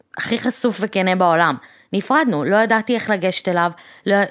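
In a very clean recording with a silent background, a woman speaks at a moderate pace with a medium pitch and lively intonation. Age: 30s. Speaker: podcast co-host. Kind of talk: casual chat.

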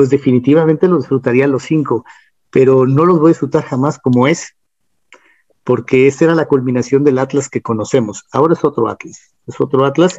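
This man has an ordinary speaking voice, a fairly high pitch and fairly even intonation. He moves at a fairly quick pace, and the sound is dry and close with no echo. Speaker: singer-songwriter and football history writer. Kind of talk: casual interview chat.

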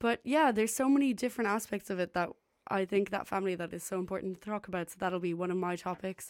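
On a very clean recording with a silent background, a woman races along at a very fast pace with a medium pitch and ordinary pitch variation. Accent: Irish. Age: 20s. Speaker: student radio host. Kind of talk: casual chat. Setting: radio station studio. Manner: animated.

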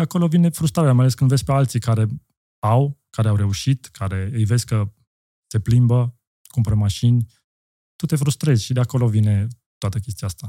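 A man with a dark, mellow, medium-pitched voice speaks at a fairly quick pace yet takes long, frequent pauses, with ordinary pitch variation and a dry, close sound with no echo. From Austria. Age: 40s. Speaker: entrepreneur. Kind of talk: casual chat.

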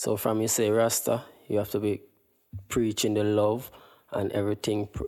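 In a Jamaican accent, a man speaks with a fairly low pitch and a dark, mellow tone, monotone and flat, on a very clean recording with a silent background. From Jamaica, Kingston. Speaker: guest from Jamaica. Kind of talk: casual chat.

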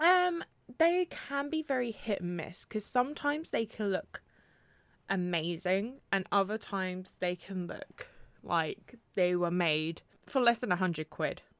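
A woman with a British accent at medium pitch, fairly slow pace and very wide pitch swings. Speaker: podcast co-host. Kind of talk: casual chat.

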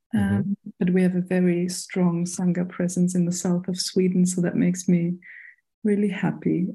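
Speaking in a German accent at a moderate pace, a woman has a dark, mellow, somewhat breathy tone, monotone, flat intonation and very even loudness. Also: medium pitch for a woman. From Germany, Berlin. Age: 30s. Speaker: international community coordinator. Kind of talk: casual chat.

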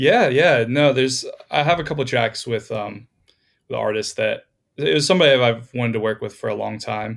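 An ordinary speaking voice from a man with an American accent, medium pitch, ordinary pitch variation and a fairly quick pace, in a very clean recording with a silent background. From Florida. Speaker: music producer. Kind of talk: casual chat.

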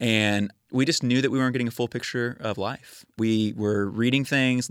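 In a very clean recording with a silent background, a man talks with an American accent. He has a plain, everyday voice, a moderate pace and fairly even intonation. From Texas, suburb of Houston. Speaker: neighbor, ministry worker. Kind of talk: casual interview.

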